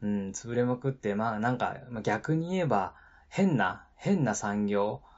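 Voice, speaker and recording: In a plain, everyday voice, a man speaks at a fairly slow pace with medium pitch and lively intonation. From Nagano, Japan. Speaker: podcast host, former taxi driver. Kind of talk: casual solo talk. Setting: live stream.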